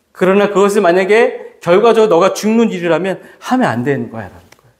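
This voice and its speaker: The man talks at a fairly quick pace with a high pitch and lively intonation. There is audible room echo. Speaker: pastor. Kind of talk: sermon. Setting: church.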